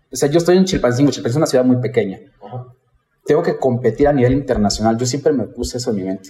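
A man talks here. His pace is very fast. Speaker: pastry chef and entrepreneurship trainer. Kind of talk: casual interview.

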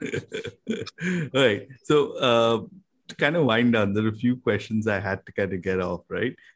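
At a fairly slow pace, a man with an unremarkable speaking voice talks at medium pitch with lively intonation. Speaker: podcast co-host. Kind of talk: interview.

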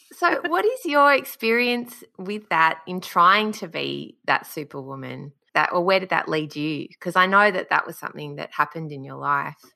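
In an Australian accent, a woman talks at a moderate pace with hardly any pauses and big swings in loudness, over a quiet background. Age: 30s. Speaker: podcast host. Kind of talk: casual interview chat.

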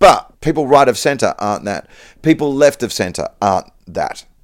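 A man with an Australian accent and medium pitch, in a very clean recording with a silent background. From Perth, Western Australia. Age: 40s. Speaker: stand-up comedian. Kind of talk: casual chat.

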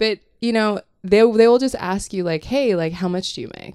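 Speaking at a moderate pace, a woman with a medium pitch has a dark, mellow tone and lively intonation. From Hong Kong. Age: 30s. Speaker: young adult author. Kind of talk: casual chat.

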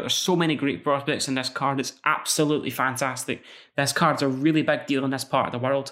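A very fast man with a Scottish accent, in a very clean recording with a silent background. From Scotland. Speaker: MMA podcast host. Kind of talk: solo podcast preview and predictions.

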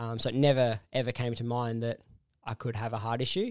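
Speaking at a medium pitch, a man keeps a monotone, flat intonation. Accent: Australian. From Perth, Western Australia. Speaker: heart transplant recipient. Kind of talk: interview, personal story. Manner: halting, many fillers.

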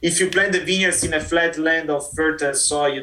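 Someone with an Italian accent speaks over noticeable background noise. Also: man. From Italy, Verona. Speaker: winery export manager. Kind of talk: interview.

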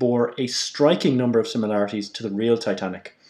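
This man's voice has a dark, mellow tone and is delivered in an Irish accent. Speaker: podcast co-host. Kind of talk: casual chat.

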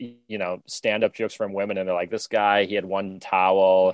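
With an American accent, a man with an unremarkable speaking voice and fairly low pitch speaks at a moderate pace on a very clean recording with a silent background. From United States. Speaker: stand-up comedian. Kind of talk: casual chat.

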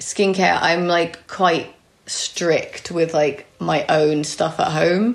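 Very slow speech, fairly even in intonation and very even in loudness, plays over noticeable background noise. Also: woman, fairly low pitch for a woman. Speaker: beauty editor. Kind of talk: casual chat.

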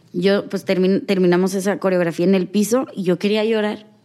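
At a moderate pace, a woman talks in an unremarkable speaking voice at a medium pitch. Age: 20s. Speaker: dance teacher. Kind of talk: interview.

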